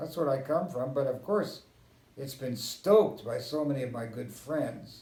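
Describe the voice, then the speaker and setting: Somewhat breathy and dark, mellow in tone, a man with a medium pitch speaks in an American accent, with audible room echo. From US West (Southern California and Kansas). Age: 80s+. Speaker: historian. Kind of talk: interview.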